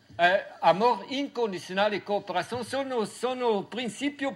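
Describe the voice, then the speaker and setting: A man talks in a high pitch. His intonation is lively. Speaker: farmer and researcher. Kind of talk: Q&A after lecture. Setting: university auditorium. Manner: halting.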